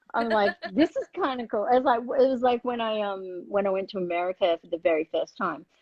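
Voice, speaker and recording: With an Australian accent, a woman talks at a fairly quick pace with hardly any pauses, using a fairly high pitch and lively intonation. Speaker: livestream host. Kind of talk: casual chat. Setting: live video stream.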